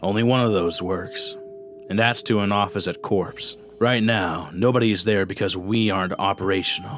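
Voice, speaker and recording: A man does a gruff, put-on character voice at a fairly low pitch. He keeps a moderate pace while clear music plays in the background. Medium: read story. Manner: gruff, profane.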